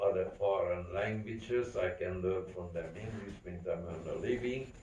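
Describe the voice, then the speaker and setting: A man with a Central European accent speaks at a fairly slow pace. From Carpathian region, Czechoslovakia. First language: not English. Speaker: Holocaust survivor. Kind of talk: testimony.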